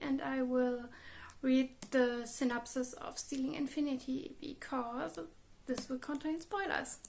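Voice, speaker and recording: A woman speaks with a German accent at a fairly slow pace. Her pitch is high. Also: ordinary pitch variation. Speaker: book vlogger. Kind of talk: casual video monologue.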